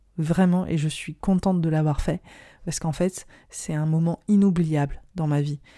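Dry and close with no echo, a woman's fairly low, dark, mellow voice comes through in a monotone, flat delivery. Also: moderate pace, very clean recording, silent background. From French community in India. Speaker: astrologer and podcast host. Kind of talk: solo podcast monologue. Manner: hesitant, many fillers.

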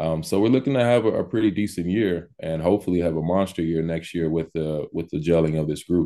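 A man with an American accent, very deep, low pitch and dark, mellow tone, talking very fast with hardly any pauses and ordinary pitch variation against a quiet background. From Texas and Los Angeles. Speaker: college basketball coach. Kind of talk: casual interview.

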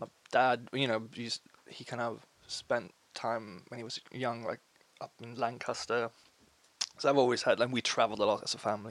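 In a Swedish accent, the speaker moves at a moderate pace with long, frequent pauses, a monotone, flat intonation and big swings in loudness. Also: man, medium pitch for a man. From Sweden, small town. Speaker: musician. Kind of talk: casual interview chat.

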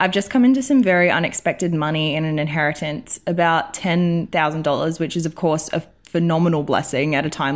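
In a very clean recording with a silent background, a woman with an Australian accent talks at a fairly quick pace in a very deep, low pitch. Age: 20s. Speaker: listener sending a voice message; works in film. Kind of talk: recorded voice message question. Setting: recorded voice message.

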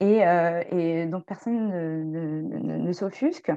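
A woman speaks at a medium pitch with a dark, mellow tone. The background is quiet. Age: 40s. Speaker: human rights activist. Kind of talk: casual discussion.

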